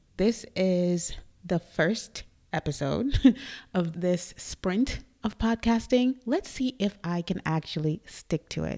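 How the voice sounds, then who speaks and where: Soft-spoken and very slow, a woman with a fairly low pitch and a dark, mellow tone uses lively intonation on a very clean recording with a silent background. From Trinidad and Tobago. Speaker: podcast host. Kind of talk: casual monologue. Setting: studio.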